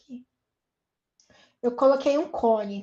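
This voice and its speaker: Pitch variation here is ordinary. The pace is moderate. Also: woman. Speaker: university lecturer. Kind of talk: online lecture.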